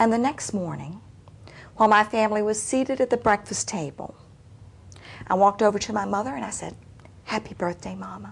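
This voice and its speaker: A woman at medium pitch speaks fairly quickly with vocal fry and ordinary pitch variation. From Appalachia. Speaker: storyteller. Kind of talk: storytelling performance.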